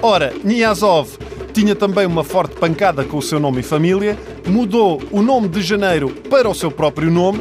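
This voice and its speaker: A man with a European Portuguese accent, lively intonation and a moderate pace, over noticeable background noise. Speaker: comedy show host. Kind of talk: comedic scripted monologue. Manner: animated.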